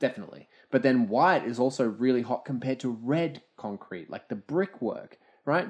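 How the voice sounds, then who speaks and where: Lively intonation and a fairly quick pace mark this voice with an Australian accent, heard over a quiet background. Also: man. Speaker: podcast co-host. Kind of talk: casual chat. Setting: at a table, recording with drinks.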